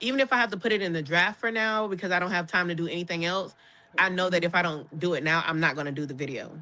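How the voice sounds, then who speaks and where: A woman speaks at a very fast pace in a bright, sharp tone. Her pitch is fairly low, with ordinary variation. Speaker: content creator and comedian. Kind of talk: casual chat.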